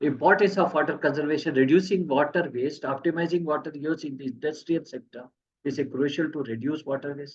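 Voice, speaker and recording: The man's pitch is fairly high and his intonation fairly even. He talks at a fairly quick pace. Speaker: engineering expert giving technical talk. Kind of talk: technical presentation. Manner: fast.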